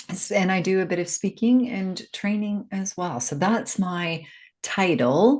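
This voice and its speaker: A woman's somewhat breathy, medium-pitched voice with an American accent and lively intonation at a fairly slow pace, against a quiet background. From US, Seattle. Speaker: life coach and grief educator. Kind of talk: podcast interview.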